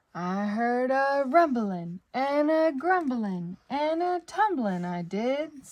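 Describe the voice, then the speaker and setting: In a put-on character voice, a woman speaks very slowly at a high pitch, with very wide pitch swings and hardly any pauses. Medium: read story. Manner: excited, urgent.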